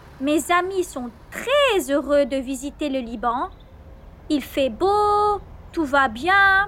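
Through noticeable background noise, a woman with a high pitch speaks at a very slow pace, her pitch swinging very widely. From Lebanon. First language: Arabic (speaking Spanish). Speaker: storyteller sharing a travel story. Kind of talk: scripted narration.

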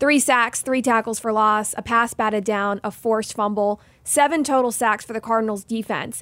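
A plain, everyday voice speaks at a moderate pace with fairly even intonation on a very clean recording with a silent background. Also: woman. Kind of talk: sports talk show recap. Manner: brisk, clear, newsy play-by-play recap delivery.

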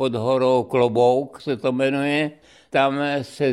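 On a very clean recording with a silent background, a man speaks very slowly at medium pitch. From Czechia, Olomouc. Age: 90s. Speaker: former ski coach. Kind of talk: radio interview, reminiscing. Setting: radio studio.

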